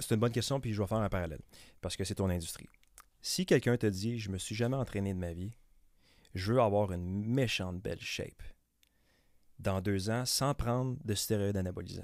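A man with a Quebec accent speaks fairly quickly at a fairly low pitch, with ordinary pitch variation and long, frequent pauses. The recording is very clean with a silent background. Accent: Québécois French. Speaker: real estate broker. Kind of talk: casual interview. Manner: fast; mumbling words, stumbling.

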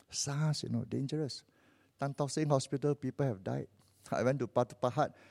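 Talking at a very fast pace, a man with a Malaysian accent has a medium-pitched voice and a dark, mellow tone in a very clean recording with a silent background. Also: dry, close sound with no echo. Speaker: visiting preacher. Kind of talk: sermon. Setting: church. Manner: animated.

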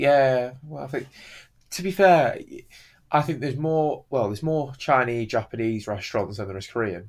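This voice has a northern English accent, lively intonation and big swings in loudness. It moves at a moderate pace in a very clean recording with a silent background. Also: man, medium pitch for a man. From northern England. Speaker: podcast host. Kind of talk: casual chat.

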